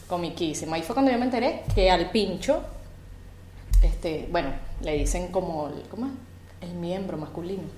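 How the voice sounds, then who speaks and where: With a Venezuelan accent, a woman speaks at a moderate pace with lively intonation and a fairly low pitch, leaving long, frequent pauses amid noticeable background noise and audible room echo. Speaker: podcast co-host. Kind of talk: casual chat. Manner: animated.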